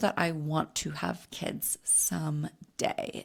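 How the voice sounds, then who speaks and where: A woman at a very slow pace, on a very clean recording with a silent background. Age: 30s. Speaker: podcast host and hormone health coach. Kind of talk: casual solo podcast monologue. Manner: conversational, with fillers and restarts.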